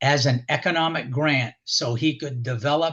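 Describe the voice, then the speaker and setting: At a fairly slow pace, a man speaks at a fairly high pitch with ordinary pitch variation. His voice is somewhat breathy. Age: 70s. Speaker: local historian and author. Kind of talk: radio interview. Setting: radio show. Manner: halting, with many fillers.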